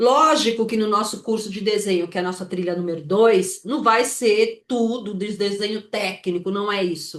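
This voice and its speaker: With an animated tone, a woman speaks at a fairly high pitch and ordinary pitch variation. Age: 60s. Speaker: landscape architect teaching an online course. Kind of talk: live online class. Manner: animated, informal; halting, repeats words.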